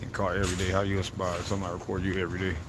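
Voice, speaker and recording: Very fast and monotone with flat intonation, the speech is heard with audible room echo. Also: man. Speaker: livestreamer. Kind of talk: casual livestream monologue. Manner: loud.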